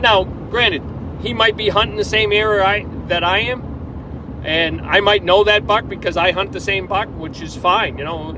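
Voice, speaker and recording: A man's high voice comes at a moderate pace with ordinary pitch variation, backed by noticeable background noise. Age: 60s. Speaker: hunter. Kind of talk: casual monologue. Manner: halting.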